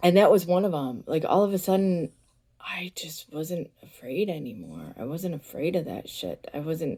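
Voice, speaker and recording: A woman's moderately paced voice with vocal fry, ordinary pitch variation and big swings in loudness. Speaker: wellness vlogger. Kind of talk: casual vlog monologue. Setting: bedroom. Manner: halting, many fillers.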